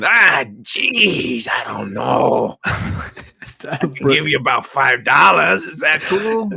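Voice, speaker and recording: A put-on character voice from a man, fairly high-pitched, at a very slow pace. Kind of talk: casual, street-level.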